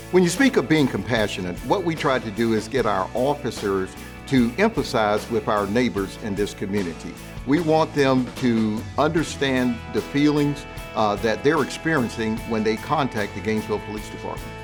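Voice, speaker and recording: Music plays in the background as a man talks at a moderate pace, his medium pitch carrying lively intonation. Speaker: police chief. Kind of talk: interview answer.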